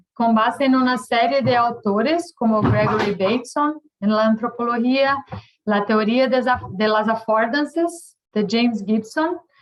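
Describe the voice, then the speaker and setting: A woman with a Portuguese accent speaks at a fairly slow pace, her fairly high pitch moving with ordinary variation and her loudness very even. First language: Portuguese (speaking Spanish). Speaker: professor. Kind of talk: lecture. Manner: halting.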